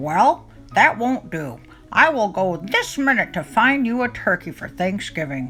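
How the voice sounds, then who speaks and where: A woman's put-on character voice at medium pitch, with very wide pitch swings, a moderate pace and clear music in the background. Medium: read story.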